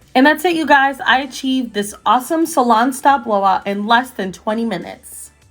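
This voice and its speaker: Music plays in the background as a woman talks at a fairly quick pace. Her high-pitched voice has lively intonation. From Costa Rica. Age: 20s. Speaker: freelance makeup artist. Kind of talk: casual beauty tutorial talk to camera.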